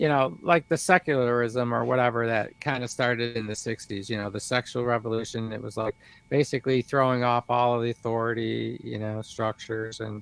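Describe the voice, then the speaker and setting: A man with an American accent talks in a plain, everyday voice at medium pitch and a fairly quick pace. His intonation is fairly even, and the sound is dry and close with no echo. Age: 60s. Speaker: livestream host. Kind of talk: casual chat.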